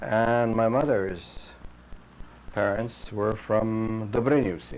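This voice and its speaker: A man speaks at a very slow pace, his pitch medium with ordinary variation. The room echo is audible, and background noise is noticeable. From Canada, central Saskatchewan, Ukrainian-Canadian farm community. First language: Ukrainian. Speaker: war veteran. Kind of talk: oral history interview. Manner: halting.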